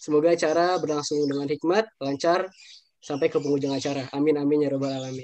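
A man's fairly high voice, fairly even in intonation, at a very fast pace. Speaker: student emcee. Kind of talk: event emcee. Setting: video call. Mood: polite, formal. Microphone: video call.

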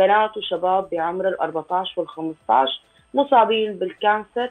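Over a quiet background, the words come out very slowly. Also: woman. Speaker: guest. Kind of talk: interview answer. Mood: serious, concerned. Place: home room. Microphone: video call.

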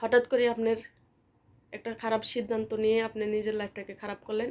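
The recording is very clean, with a silent background. A woman speaks at a fairly high pitch in a monotone, flat intonation. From Bangladesh, Comilla. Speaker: vlogger. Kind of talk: casual vlog talk and advice. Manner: casual, hesitant with fillers.

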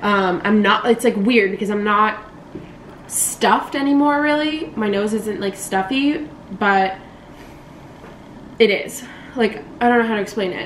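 There is light background noise and audible room echo. A woman speaks at a moderate pace with ordinary pitch variation. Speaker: vlogger. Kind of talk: casual vlog chat. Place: home room. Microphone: camera far.

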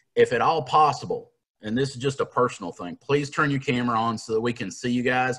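Against a quiet background, a man with an Appalachian accent talks at a very fast pace with ordinary pitch variation. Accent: Appalachian Southern US. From Appalachian Kentucky. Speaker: leadership coach and workshop trainer. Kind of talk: online professional development workshop. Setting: video call. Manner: casual, self-deprecating. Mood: friendly, joking. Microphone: video call.

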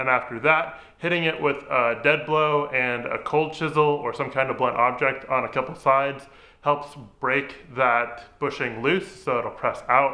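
A man's bright, sharp tone with fairly even intonation. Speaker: DIY restoration vlogger. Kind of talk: casual vlog chat. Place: garage.

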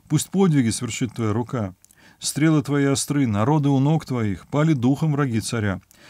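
Against a quiet background, a man with a dark, mellow tone speaks at a moderate pace, the sound dry with no echo. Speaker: professor, Bible commentator. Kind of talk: scripture reading with commentary. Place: home room.

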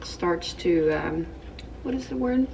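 Noticeable background noise under a woman's moderate pace. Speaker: lifestyle vlogger. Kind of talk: casual vlog chat. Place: home room. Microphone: phone near.

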